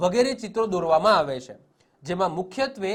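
The speaker is a man. His intonation is lively. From Gujarat, Pethapur near Gandhinagar. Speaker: exam-prep teacher. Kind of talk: lecture.

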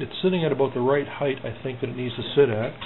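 Background noise is noticeable here. Over it, a man speaks at a fairly quick pace. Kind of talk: casual build walkthrough. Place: garage. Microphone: phone near.

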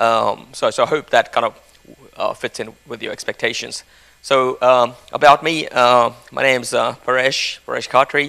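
The voice moves at a moderate pace over a quiet background. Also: man. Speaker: conference presenter. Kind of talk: lecture. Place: hall. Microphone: handheld.

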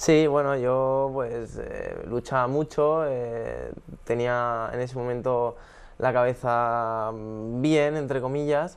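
Speaking at a very slow pace, a man keeps a medium pitch and fairly even intonation. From Spain, Alicante (San Vicente); Spain. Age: 20s. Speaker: professional tennis player; guest. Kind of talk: casual interview. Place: studio.

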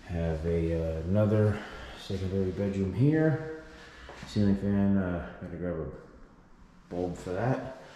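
There is light background noise and audible room echo. A man speaks with a very deep, low pitch and ordinary pitch variation. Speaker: property seller or renovator. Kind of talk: casual walkthrough tour. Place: home room. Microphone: phone near.

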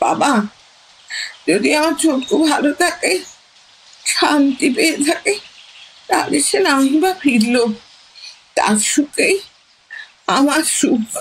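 A shaky, put-on character voice, high in pitch, delivered at a very slow pace with very even loudness and lively intonation. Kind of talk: radio drama. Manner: trembling, emotional, tender.

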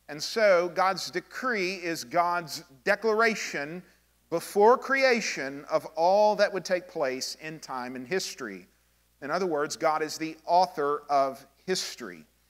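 A man speaks at a fairly slow pace with big swings in loudness. The background is quiet. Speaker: pastor teaching. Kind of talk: sermon-style teaching on a confession of faith. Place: church.

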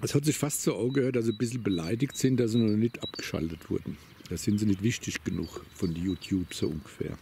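Light background noise sits under a man talking at a fairly quick pace. His intonation is lively, and the sound is dry with no echo. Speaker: vlogger. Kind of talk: casual monologue while walking. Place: open country.

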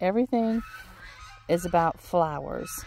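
A woman talks at a fairly slow pace, and the sound is dry with no echo. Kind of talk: casual vlog chat. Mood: relaxed, reflective. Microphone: phone near.

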